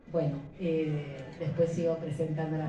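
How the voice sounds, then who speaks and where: A woman with a fairly low pitch speaks at a fairly slow pace. Noticeable background noise and audible room echo come through. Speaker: publisher presenting a book. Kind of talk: book launch presentation. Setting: bookshop event with audience.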